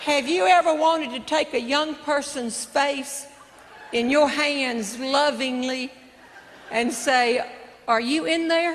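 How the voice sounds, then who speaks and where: Spoken at a very slow pace with ordinary pitch variation, the clip has audible room echo and noticeable background noise. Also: woman, high pitch for a woman. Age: 60s. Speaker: comedian. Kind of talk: stand-up. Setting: stage with audience.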